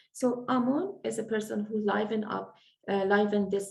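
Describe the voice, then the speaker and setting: A woman speaks with an Iranian accent. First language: Farsi. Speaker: event moderator. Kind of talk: introduction. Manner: halting.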